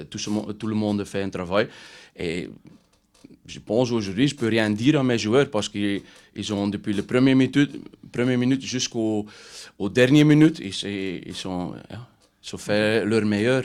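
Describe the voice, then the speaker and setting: A man with a Dutch accent, fairly low in pitch with ordinary pitch variation, at a fairly slow pace with long, frequent pauses, on a very clean recording with a silent background. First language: Dutch (speaking French). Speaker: football coach. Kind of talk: press conference. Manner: halting.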